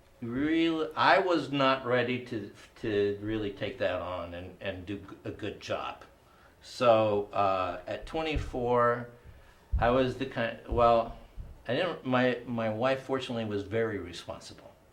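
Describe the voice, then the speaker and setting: A man talks fairly slowly at medium pitch. The room echo is audible. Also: ordinary pitch variation. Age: 50s. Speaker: comedy show host. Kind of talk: personal storytelling on a comedy panel.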